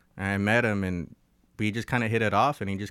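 A man with a Southern Californian accent talks at a fairly quick pace in a fairly low voice, his intonation fairly even. The recording is very clean, with a silent background. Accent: Southern California American. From Los Angeles, US. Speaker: musician. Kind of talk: casual chat. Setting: studio.

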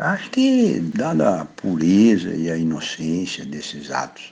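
A man speaks over noticeable background noise. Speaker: retired agricultural researcher. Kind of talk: recorded anecdote.

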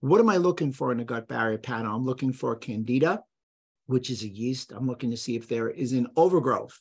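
Against a quiet background, a man talks at a very fast pace with a medium pitch and ordinary pitch variation. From New York City, the Bronx. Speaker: chiropractor and clinical nutritionist. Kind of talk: interview.

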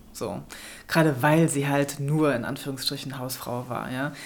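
A woman with a very deep, low voice speaks at a moderate pace with fairly even intonation. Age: 30s. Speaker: author and filmmaker. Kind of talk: interview. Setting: studio.

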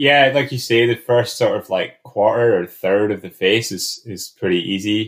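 A man with a Scottish accent in a very clean recording over a silent background. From Scotland, remote area. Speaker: alpine climber. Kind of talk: casual interview.

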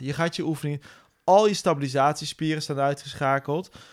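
An energetic man talks at a moderate pace and fairly high pitch. The recording is very clean, with a silent background. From Netherlands, Nijmegen. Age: 40s. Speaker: bootcamp business owner. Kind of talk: interview. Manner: halting, many repetitions.

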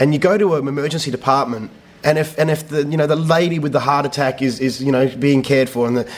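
Speaking with an Australian accent, a man's voice sits fairly high in pitch. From Western Australia. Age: 30s. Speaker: theatre director. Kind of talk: interview. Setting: rehearsal studio. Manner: halting, many repetitions.

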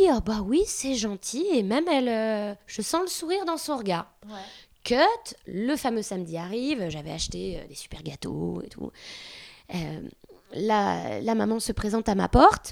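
In a very clean recording with a silent background, a woman speaks fairly slowly with very wide pitch swings. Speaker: artist and mother. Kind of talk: casual chat.

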